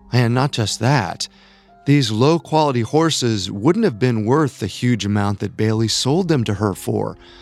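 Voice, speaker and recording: Over music in the background, a man speaks fairly slowly at a medium pitch, his tone dramatic and his intonation lively. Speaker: podcast host. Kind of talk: true-crime narration. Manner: measured, dramatic, grave storytelling.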